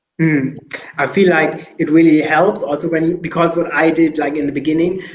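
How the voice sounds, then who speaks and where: With noticeable background noise behind him, a man talks at a fairly quick pace in a monotone, flat intonation. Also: fairly high pitch for a man. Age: 20s. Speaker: webinar host and presenter. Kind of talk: moderated panel discussion. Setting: online webinar. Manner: hesitant, many fillers.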